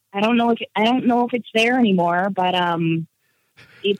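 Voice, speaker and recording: A woman has a normal speaking voice at a medium pitch. She talks at a moderate pace with fairly even intonation. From Nova Scotia, Canada. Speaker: stand-up comedian. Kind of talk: interview.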